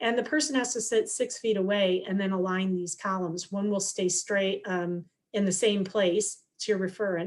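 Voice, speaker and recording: A woman with a medium pitch and a normal speaking voice talks at a moderate pace with hardly any pauses and fairly even intonation. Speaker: scientist giving a guest lecture. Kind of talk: lecture.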